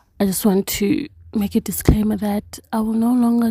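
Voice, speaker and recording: Delivery is fairly slow. No background sound intrudes on this very clean recording. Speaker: tarot reader. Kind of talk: casual monologue to camera. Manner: unhurried, takes pauses.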